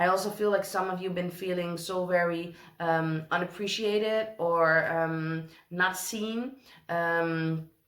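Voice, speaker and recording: A woman with a Dutch accent speaks at a very slow pace and fairly low pitch, her intonation fairly even. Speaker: tarot reader. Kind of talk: tarot reading. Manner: hesitant, many fillers.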